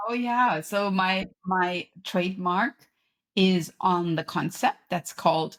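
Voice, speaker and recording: In a German accent, a woman talks at a very slow pace and a medium pitch with ordinary pitch variation, the sound dry and close with no echo. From Germany. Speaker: podcast host and author, professor. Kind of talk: interview conversation.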